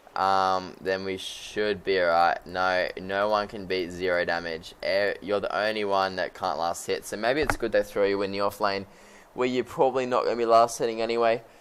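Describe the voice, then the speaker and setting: A man talks at a fairly low pitch while noticeable background noise fills the recording. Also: ordinary pitch variation, moderate pace. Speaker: esports caster. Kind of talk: live commentary. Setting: live stream. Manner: halting, many fillers.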